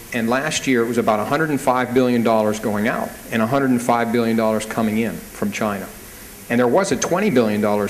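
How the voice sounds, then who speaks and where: A very fast-talking man with an American accent, medium pitch and ordinary pitch variation, amid noticeable background noise and audible room echo. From United States. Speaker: banker, panel speaker. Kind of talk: panel talk at business conference.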